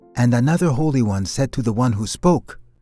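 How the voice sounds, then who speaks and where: A man speaks at a medium pitch with very wide pitch swings, music playing in the background. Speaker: voiceover artist and podcast host; podcast host reading scripture. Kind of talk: audio Bible reading.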